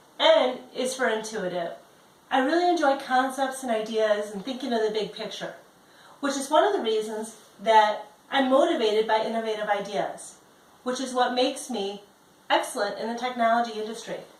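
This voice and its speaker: A woman with an American accent at a fairly high pitch, moderate pace and ordinary pitch variation, with audible room echo. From Chicago, US Midwest. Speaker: job applicant; presenter. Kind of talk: self-introduction video. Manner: direct. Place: home room. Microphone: camera far.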